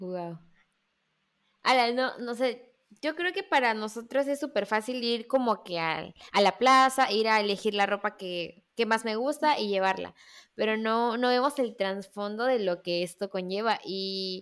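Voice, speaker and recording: Using an ordinary speaking voice, a woman talks at a fairly slow pace with fairly high pitch. The recording is very clean, with a silent background. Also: ordinary pitch variation. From Mexico, Veracruz. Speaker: podcast host, marketing student. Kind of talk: casual interview chat.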